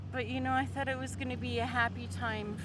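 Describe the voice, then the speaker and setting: A woman's very deep, low voice carries audible room echo. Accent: Canadian. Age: 60s. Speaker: homeless woman vlogger. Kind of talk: personal vlog monologue. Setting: food distribution center.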